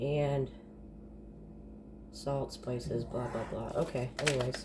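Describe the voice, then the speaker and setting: At a very slow pace, a woman speaks over noticeable background noise. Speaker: home cooking vlogger. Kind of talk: casual cooking tutorial. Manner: casual, chatty.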